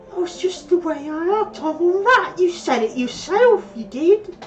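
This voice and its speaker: A put-on character voice at an extremely high pitch moves at a moderate pace over clear background music. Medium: actual play. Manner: oily, ingratiating.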